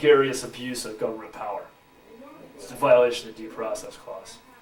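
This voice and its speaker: Speaking at a moderate pace with a medium pitch and fairly even intonation, a man is heard over noticeable background noise and audible room echo. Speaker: researcher making misconduct allegations. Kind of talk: heated discussion. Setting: university police office. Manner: hesitant, filler-heavy.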